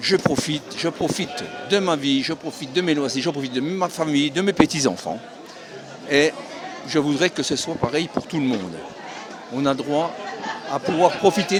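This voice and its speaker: Crowd noise and audible room echo surround a man talking at a moderate pace with long, frequent pauses. His voice sits fairly high, with ordinary pitch variation. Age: 70s. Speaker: retiree at a protest. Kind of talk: street interview.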